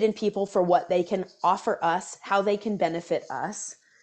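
In an ordinary speaking voice, a woman with an American accent talks at medium pitch and a moderate pace. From US South, Atlanta. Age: 30s. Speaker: seminarian and community organizer. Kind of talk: casual interview chat.

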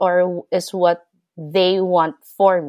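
A woman at a medium pitch, with a dry, close sound and no echo. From Philippines. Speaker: language assistant and essayist. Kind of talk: interview, personal storytelling. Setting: remote call across time zones.

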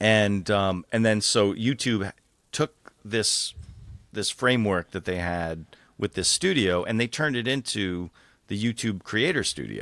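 A man speaks in a plain, everyday voice with an American accent, pitched fairly low with ordinary pitch variation and a fairly slow pace. The recording is very clean with a silent background, its sound dry and close with no echo. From New York suburbs, US. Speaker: automotive journalist and media executive. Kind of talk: interview conversation.

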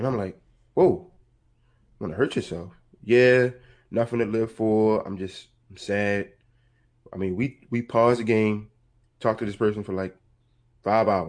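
Against a quiet background, a man with an American accent talks at fairly low pitch and a moderate pace, with ordinary pitch variation and long, frequent pauses. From Baltimore, Maryland. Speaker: counselor and mentor. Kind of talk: casual interview.

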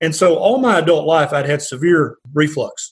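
A somewhat breathy male voice. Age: 50s. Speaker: family physician. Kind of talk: interview.

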